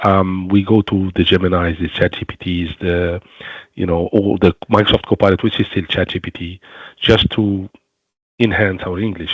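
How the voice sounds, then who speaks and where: A man speaks at a moderate pace with a very deep, low pitch and a non-native accent. His intonation is monotone and flat. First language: not English. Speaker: webinar co-host, security professional. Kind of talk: webinar panel discussion.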